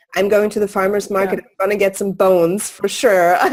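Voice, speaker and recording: A woman with a German accent speaks at a medium pitch. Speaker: interviewer, podcast host. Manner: casual, conversational, uses fillers.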